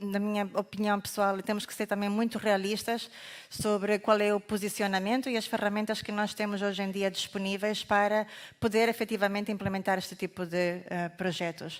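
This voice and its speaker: A woman's medium-pitched voice in monotone, flat intonation at a moderate pace, on a very clean recording with a silent background. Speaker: carbon market consultant presenter. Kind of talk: conference presentation.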